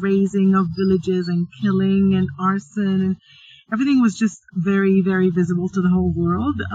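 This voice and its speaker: A woman of medium pitch talks at a moderate pace in a somewhat breathy voice. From Sudan, raised in Middle East, Libya and Egypt. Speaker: digital storytelling curator and cultural manager. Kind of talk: casual chat.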